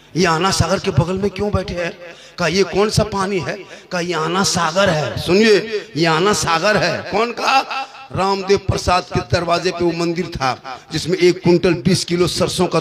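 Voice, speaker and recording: The intonation stays fairly even while noticeable background noise runs underneath. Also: man. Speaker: Islamic preacher. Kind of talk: humorous religious sermon.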